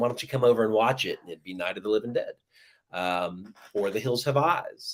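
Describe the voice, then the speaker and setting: A plain, everyday voice with an American accent moves at a fairly quick pace. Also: man. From US South, southeast Georgia. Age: 40s. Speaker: horror writer. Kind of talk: interview, casual chat.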